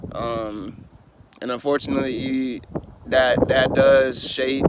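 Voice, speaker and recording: A man talks with an American accent at medium pitch. His intonation is monotone and flat, with noticeable background noise. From US and Germany (military family). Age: 20s. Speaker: life coach / vlogger. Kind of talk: personal life story monologue. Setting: outdoors. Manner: casual, filler-heavy.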